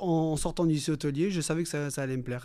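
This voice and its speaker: A man's dark, mellow tone carries ordinary pitch variation on a very clean recording against a silent background. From Nice, southern France. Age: 30s. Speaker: restaurant manager. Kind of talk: interview.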